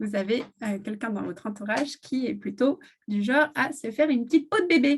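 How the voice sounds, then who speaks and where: This woman's voice is somewhat breathy, with lively intonation. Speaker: essential oils seller. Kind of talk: live stream product presentation. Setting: live video stream. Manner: hesitant, many fillers.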